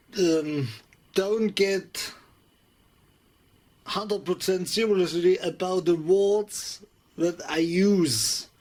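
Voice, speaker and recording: Very slow speech in a German accent, with long, frequent pauses. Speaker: electronics hobbyist youtuber. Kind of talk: tutorial. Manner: halting.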